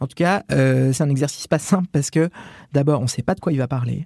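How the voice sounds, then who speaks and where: Fairly high in pitch, somewhat breathy and dark, mellow in tone, a man talks at a fairly quick pace in a dry, close sound with no echo. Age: 30s. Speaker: journalist, Vatican correspondent. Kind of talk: first-person reportage narration.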